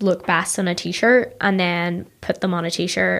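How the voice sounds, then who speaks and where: This woman has a Northern Irish accent and a medium pitch. Her intonation is flat and monotone. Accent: Ballymena, Northern Irish. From Northern Ireland, Ballymena. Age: 20s. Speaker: tech marketer and startup founder. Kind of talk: casual interview chat. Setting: studio.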